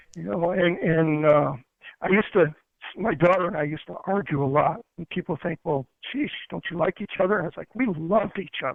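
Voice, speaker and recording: A man talks at a fairly quick pace in a high voice with ordinary pitch variation. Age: 60s. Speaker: interview guest sharing life story. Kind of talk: interview. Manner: halting.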